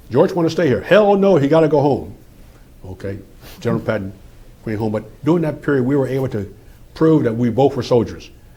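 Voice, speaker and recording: A man with an American accent talks at a fairly quick pace in a medium, somewhat breathy, dark and mellow voice whose pitch swings very widely. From US Northeast, suburban Philadelphia. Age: 80s+. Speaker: retired army general, war veteran. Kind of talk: oral history interview. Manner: conversational.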